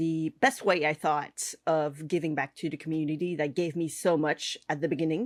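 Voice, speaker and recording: A Quebec accent comes through in a very clean recording with a silent background and a dry, close sound with no echo. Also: woman. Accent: French Canadian accent in English. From Quebec / French Canada. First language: French. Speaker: cake artist and online instructor. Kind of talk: podcast interview. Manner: halting, many fillers.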